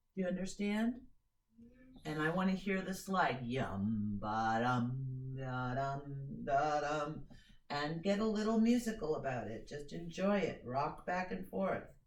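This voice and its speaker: Very wide pitch swings and a fairly slow pace stand out against audible room echo. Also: woman, very deep, low pitch for a woman. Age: 50s. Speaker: violin teacher. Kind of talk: music lesson. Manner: instructive, direct.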